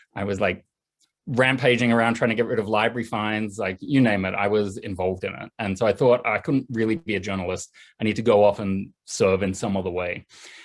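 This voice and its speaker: Speaking in an Australian accent, a man uses a fairly low pitch, fairly even intonation and a fairly quick pace. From Australia, east coast near Sydney. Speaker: journalist and political writer. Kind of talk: video call interview. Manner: casual, fluent.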